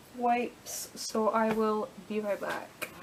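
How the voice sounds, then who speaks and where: A woman with an unremarkable speaking voice talks at a fairly high pitch with fairly even intonation. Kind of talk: casual talk to camera, makeup tutorial.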